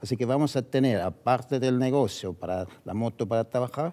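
This man's voice has a dark, mellow tone, medium pitch, ordinary pitch variation and a moderate pace. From Switzerland (Zurich); Switzerland. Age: 70s. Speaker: business owner; interview guest. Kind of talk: interview. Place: studio. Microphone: headset.

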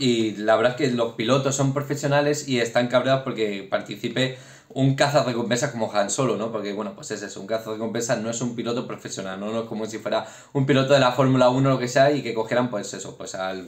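A man speaks fast with few pauses. His pitch is medium and his intonation fairly even.

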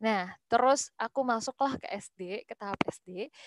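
Against a quiet background, a woman speaks with lively intonation in a dry sound with no echo. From West Java, Bandung; West Java. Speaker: young entrepreneur, hijab brand founder; guest. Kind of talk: webinar talk, casual. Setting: video call. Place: home room. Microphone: video call.

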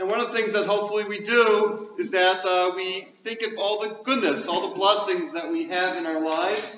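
In a room with audible echo and light background noise, a man speaks at a moderate pace with a high pitch and lively intonation. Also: hardly any pauses. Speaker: rabbi. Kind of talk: welcome speech to audience. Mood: warm, reflective. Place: hall. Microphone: camera far.

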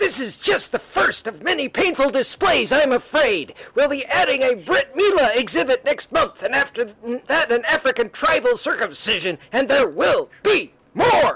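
Moderate pace in a put-on character voice. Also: man, extremely high pitch for a man. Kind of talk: comic-book hero overacting. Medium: read story. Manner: melodramatic, declamatory.

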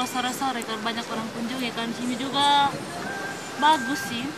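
A woman's voice comes through with a dry sound that has no echo, with noticeable background noise. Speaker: interviewee. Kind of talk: interview answer. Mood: cheerful, relaxed. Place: market.

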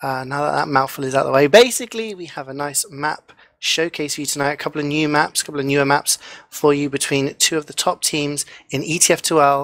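A man's fairly high voice at a very fast pace, with fairly even intonation and big swings in loudness. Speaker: esports commentator. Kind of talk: esports match commentary.

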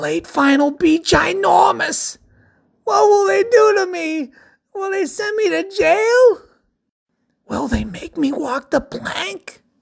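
A put-on character voice speaks at a high pitch. The pace is fairly slow, with long, frequent pauses.

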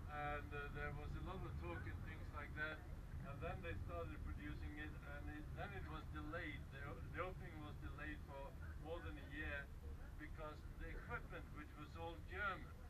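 Man at a moderate pace over loud background noise. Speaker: local guide or host. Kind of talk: informal tour commentary. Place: train. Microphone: camera far.

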